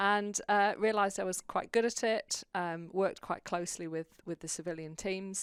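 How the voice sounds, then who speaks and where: Speaking with a British accent, a woman keeps a moderate pace and ordinary pitch variation. The recording is very clean with a silent background. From UK. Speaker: publicist, former navy officer. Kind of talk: interview.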